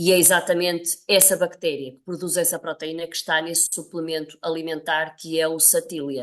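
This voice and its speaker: A woman with a fairly low voice speaks at a moderate pace in a flat monotone, her loudness swinging widely against a quiet background. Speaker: nutrition professor. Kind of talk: interview.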